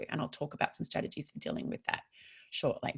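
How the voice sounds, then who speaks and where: Speech in an Australian accent comes at a very fast pace. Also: woman. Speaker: psychologist. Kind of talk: online workshop presentation. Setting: online webinar.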